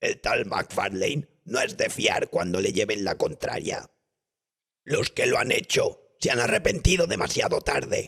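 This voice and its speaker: A moderate pace and a put-on character voice. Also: man. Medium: read story.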